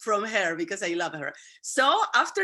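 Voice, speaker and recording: A woman with a Spanish accent speaks at a fairly slow pace, her pitch making very wide swings. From Venezuela. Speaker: YouTube interviewer. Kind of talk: interview.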